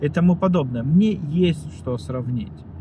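The sound is dry with no echo as a man speaks over noticeable background noise. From Russia, Voronezh; Russia. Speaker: video blogger; vlogger. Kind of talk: vlog monologue; casual vlog chat, political opinion. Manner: halting, many fillers. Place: car. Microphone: phone near.

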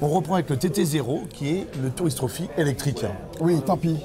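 Over noticeable background noise, a man talks at a fairly slow pace in a fairly high voice with ordinary pitch variation. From France. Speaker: motorcycle show host. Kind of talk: field reporting and interviews. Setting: outdoors at a race paddock.

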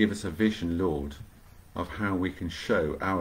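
A somewhat breathy male voice. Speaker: vicar leading online prayer. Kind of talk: fervent prayer, live-streamed devotional. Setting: home, livestream video. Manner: earnest, warm, devout. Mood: calm, reverent. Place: home room. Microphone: webcam.

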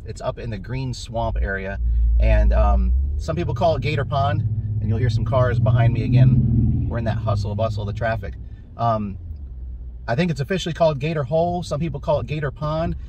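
Noticeable background noise runs under this man's voice. He talks at a fairly quick pace, and the sound is dry with no echo. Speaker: hiker vlogger. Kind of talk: casual vlog chat. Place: car. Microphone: phone near.

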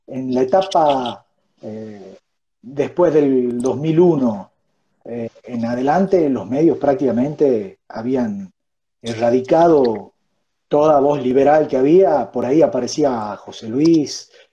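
A man at a very slow pace, with ordinary pitch variation and big swings in loudness. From Argentina. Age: 30s. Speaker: think-tank education director; interview guest. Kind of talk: interview conversation. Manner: halting, many fillers. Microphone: wireless earphones, poor audio; earbuds.

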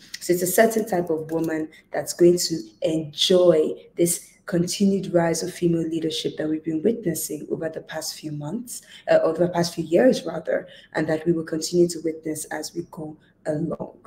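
Fairly low in pitch, a woman's voice comes across as somewhat breathy, with a dark, mellow tone. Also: fairly even intonation, moderate pace. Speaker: leadership coach. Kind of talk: motivational talk to camera. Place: home room. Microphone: earbuds.

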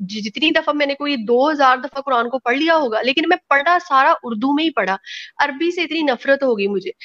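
A woman's high voice, bright and sharp in tone with lively intonation, comes through with a dry sound with no echo against a quiet background. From Pakistan. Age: 30s. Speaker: guest. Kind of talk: personal testimony. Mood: emotional, critical personal account. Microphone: video call.

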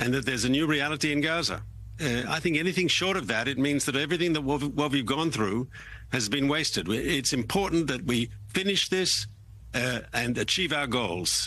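A man talks at a moderate pace with vocal fry. His tone is bright and sharp, and the sound is dry with no echo. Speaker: remote guest. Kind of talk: interview answer. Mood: firm, measured. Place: studio.

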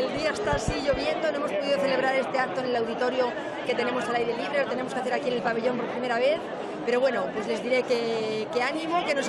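The sound is dry with no echo, under loud background noise. A woman talks at a very fast pace. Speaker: local official or event organiser. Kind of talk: impromptu speech to the locals at a festival. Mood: warm, upbeat festive wishes. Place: hall. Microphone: handheld.

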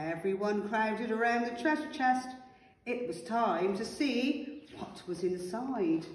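Here someone reads aloud in a natural voice.

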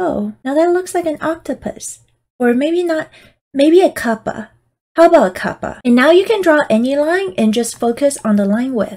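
Speaking in a playful, upbeat tone, a woman uses a high pitch with very wide pitch swings. She keeps a moderate pace. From Taiwan. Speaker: digital artist and tutorial host. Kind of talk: software tutorial.

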